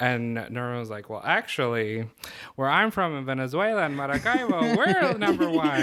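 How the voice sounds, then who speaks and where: A man with an American accent speaks at a moderate pace in a fairly high voice, making very wide pitch swings over noticeable background noise. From Florida, Tampa. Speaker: podcast guest. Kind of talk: casual chat.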